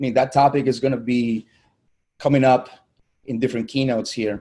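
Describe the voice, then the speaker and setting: Speaking with a Spanish accent at a fairly quick pace, a man has a medium pitch, a dark, mellow tone, and monotone, flat intonation. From Colombia. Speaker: digital marketing agency owner. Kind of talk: virtual summit keynote talk.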